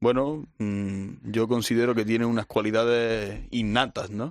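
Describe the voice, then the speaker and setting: Against a quiet background, a man with a normal speaking voice talks at a medium pitch with ordinary pitch variation. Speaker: bullfighting analyst. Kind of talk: casual chat.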